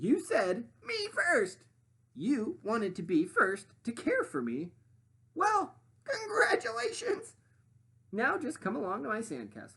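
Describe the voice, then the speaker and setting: A man's put-on character voice, extremely high-pitched and cackling, raised and projected, at a fairly slow pace. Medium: read story.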